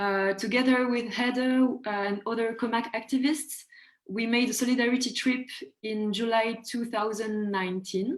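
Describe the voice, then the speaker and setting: Woman with a French accent and fairly even intonation. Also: fairly high pitch for a woman, moderate pace. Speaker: student activist. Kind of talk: self-introduction on webinar. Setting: video call webinar.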